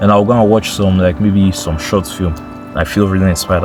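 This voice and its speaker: A man's fairly low voice at a very fast pace, with music in the background. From Nigeria. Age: 20s. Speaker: YouTuber. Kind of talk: casual vlog monologue. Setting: talking to camera.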